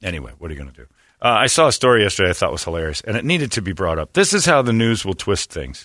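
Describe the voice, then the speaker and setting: Very fast and fairly low, a man with an American accent talks in a bright, sharp tone with vocal fry, very wide pitch swings and big swings in loudness against a quiet background. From Northwest Indiana. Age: 40s. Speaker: radio morning show host. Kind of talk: casual chat. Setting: studio.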